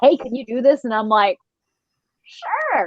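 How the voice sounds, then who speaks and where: A woman's high-pitched, animated voice at a moderate pace, with ordinary pitch variation. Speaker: voice actor. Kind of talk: panel Q&A. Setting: livestream panel.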